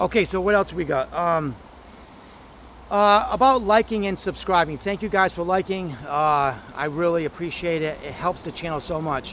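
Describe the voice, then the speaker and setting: A loud, high-pitched man's voice at a moderate pace with ordinary pitch variation. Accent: American. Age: old. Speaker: vlogger. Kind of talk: casual vlog talk to camera.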